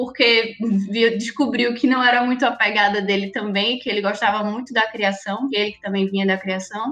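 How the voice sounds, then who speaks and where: A woman speaks at a moderate pace as music plays behind her. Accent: Recife. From Recife, Brazil. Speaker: project manager. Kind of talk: podcast interview.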